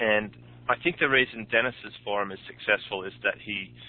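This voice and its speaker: Speaking with an Australian accent, this man has a fairly low pitch. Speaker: podcast host and online entrepreneur. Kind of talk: interview. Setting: phone call.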